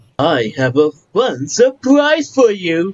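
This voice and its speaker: In a put-on character voice, a man speaks very slowly at a high pitch with very wide pitch swings. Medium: read story. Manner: warm, upbeat.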